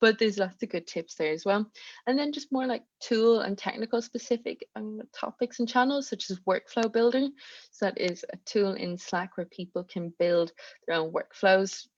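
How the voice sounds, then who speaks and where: A woman speaks with a strong Irish accent at a moderate pace. The background is quiet. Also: fairly high pitch for a woman, ordinary pitch variation. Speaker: community manager. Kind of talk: online presentation. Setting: video call.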